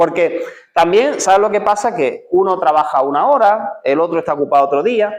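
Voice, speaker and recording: Fairly quick and lively in intonation, a man speaks with a high pitch. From Seville, Spain. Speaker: pastor. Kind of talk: sermon. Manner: conversational, with many filler words and repetitions.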